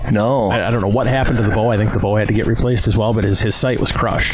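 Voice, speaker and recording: Against noticeable background noise, a man with an Upper Midwest US accent speaks at a very fast pace and a fairly low pitch. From Wisconsin. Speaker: archery equipment business owner. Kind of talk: casual interview. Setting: outdoors at archery club.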